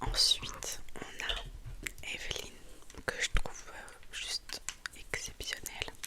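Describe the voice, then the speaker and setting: Whispering at a very slow pace, a woman leaves long, frequent pauses, her loudness swinging widely against noticeable background noise. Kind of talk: ASMR whisper presentation. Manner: whispered, soft-spoken.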